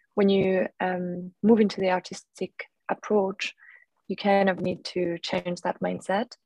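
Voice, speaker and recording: A woman in a French accent, dark, mellow tone, monotone, flat intonation and a fairly slow pace, with a dry, close sound and no echo. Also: medium pitch for a woman. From France. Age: 30s. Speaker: artist and former venture capitalist. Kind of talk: interview. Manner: hesitant, many fillers.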